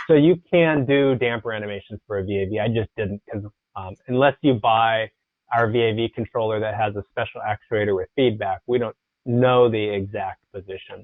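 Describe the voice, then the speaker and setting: A man's unremarkable speaking voice, medium in pitch with ordinary pitch variation, at a moderate pace. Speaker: software trainer. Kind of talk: tutorial.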